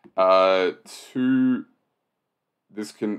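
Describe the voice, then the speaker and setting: The background stays quiet while a man talks. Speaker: sudoku solver and video host; video host. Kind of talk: puzzle-solving walkthrough. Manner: casual with frequent fillers. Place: home room.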